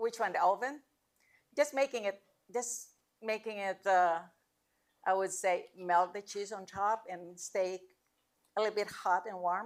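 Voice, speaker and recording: The speaker moves at a fairly slow pace with long, frequent pauses. Pitch variation is ordinary. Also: woman, medium pitch for a woman. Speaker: cooking class instructor. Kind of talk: cooking demonstration Q&A. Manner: loud.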